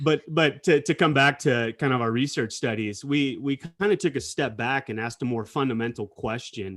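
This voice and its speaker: The speaker has an unremarkable speaking voice with ordinary pitch variation. The pace is moderate, with hardly any pauses. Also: man, fairly high pitch for a man. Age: 40s. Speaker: corporate scientist. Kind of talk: casual chat. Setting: video call.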